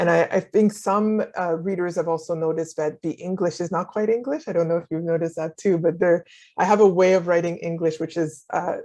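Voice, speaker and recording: Against a quiet background, a woman with a fairly low pitch and a dark, mellow tone talks at a fairly quick pace with fairly even intonation and hardly any pauses. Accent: French. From Haiti. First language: French. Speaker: novelist and scholar. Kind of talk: interview.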